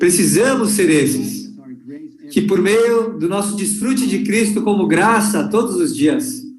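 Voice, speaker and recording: Lively intonation at a fairly slow pace with very even loudness, plus noticeable background noise and audible room echo. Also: man, high pitch for a man. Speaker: conference speaker or interpreter. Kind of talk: sermon. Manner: slow, deliberate.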